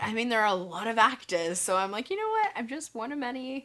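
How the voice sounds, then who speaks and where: Noticeable background noise runs under this clip. A woman speaks at a moderate pace. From Australia. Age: 20s. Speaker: actress. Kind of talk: interview answer. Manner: casual, friendly.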